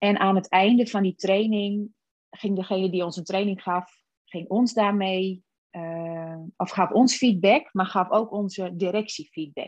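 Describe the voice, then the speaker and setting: With a normal speaking voice, a woman talks at a fairly slow pace, with a medium pitch and fairly even intonation. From Friesland, Netherlands. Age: 40s. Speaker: personal development coach. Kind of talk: casual chat.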